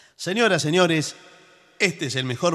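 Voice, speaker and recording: This man has a fairly high pitch, vocal fry and a bright, sharp tone. His pitch swings very widely. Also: quiet background. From Argentina. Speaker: radio co-host and announcer; radio host. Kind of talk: radio comedy chat. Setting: radio studio. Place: studio.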